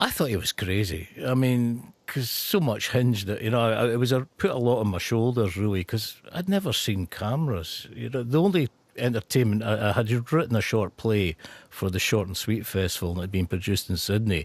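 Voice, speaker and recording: This man has a Scottish accent and a medium pitch. His intonation is lively. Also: fairly quick pace. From northeast Scotland. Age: 60s. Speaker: actor. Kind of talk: radio interview. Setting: radio studio.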